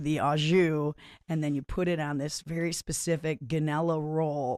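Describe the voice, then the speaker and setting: In an American accent, a woman with a very deep, low voice speaks at a moderate pace in an animated tone. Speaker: singer. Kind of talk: casual chat.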